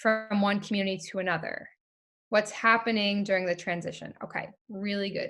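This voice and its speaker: A woman speaks at a moderate pace with a New York accent. Her pitch sits fairly high. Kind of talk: online webinar teaching.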